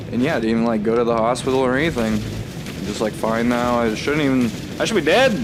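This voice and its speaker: Over noticeable background noise and audible room echo, a man speaks very fast at a medium pitch, with ordinary pitch variation and very even loudness. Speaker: gaming youtuber. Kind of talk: video game commentary. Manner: slurred words; casual, filler-heavy.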